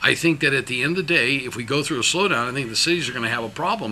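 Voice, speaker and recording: Here a man with an American accent has a fairly high pitch and an animated tone. His intonation is lively. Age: 60s. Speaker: businessman. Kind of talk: interview. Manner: animated, emphatic; many repetitions and restarts.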